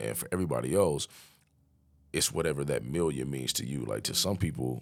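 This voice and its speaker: Ordinary pitch variation colors the very deep, low voice of this man. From Las Vegas, US. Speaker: entrepreneur. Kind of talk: podcast interview.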